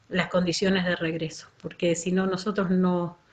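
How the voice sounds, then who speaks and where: A woman talks at a fairly slow pace. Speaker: school supervisor. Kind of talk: workshop talk.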